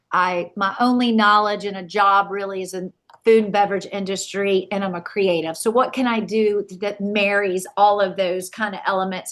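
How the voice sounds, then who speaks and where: Delivered at a moderate pace with hardly any pauses, this voice has a Southern US accent and a monotone, flat intonation. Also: woman, medium pitch for a woman. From South Carolina, Camden. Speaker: wedding and event planner. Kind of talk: podcast interview.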